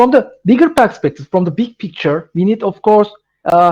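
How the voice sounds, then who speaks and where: Lively intonation in a Turkish accent. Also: man. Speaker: tech presenter. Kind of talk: webinar Q&A. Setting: online webinar. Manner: halting, many fillers.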